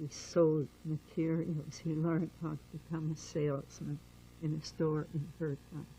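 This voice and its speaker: This woman's voice is very deep and low, dark and mellow, and somewhat breathy. She talks at a fairly slow pace in a monotone, flat intonation. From Germany, Berlin. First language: German. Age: 70s. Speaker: Holocaust survivor. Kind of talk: oral history interview.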